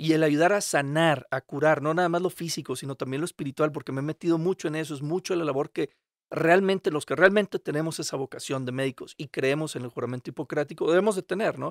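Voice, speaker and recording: A man's fairly high voice at a very fast pace with hardly any pauses, ordinary pitch variation, and a dry sound with no echo against a quiet background. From Monterrey, northern Mexico; Mexico. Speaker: physician; podcast guest. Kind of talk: interview. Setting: in person, Querétaro. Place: studio. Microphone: studio mic.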